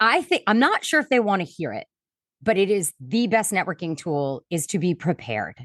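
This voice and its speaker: A woman speaks loudly at a moderate pace in a medium pitch, her voice swinging very widely up and down, with a dry, close sound, no echo and a quiet background. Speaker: networking expert and keynote speaker. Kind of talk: podcast interview.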